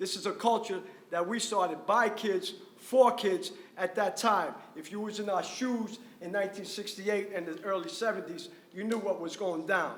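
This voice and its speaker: A man's high-pitched voice with a New York accent, ordinary pitch variation and a moderate pace, plus noticeable background noise and audible room echo. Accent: New York City. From New York City, Washington Heights. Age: 60s. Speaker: graffiti artist. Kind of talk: panel discussion. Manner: loud; animated. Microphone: speaking without a mic.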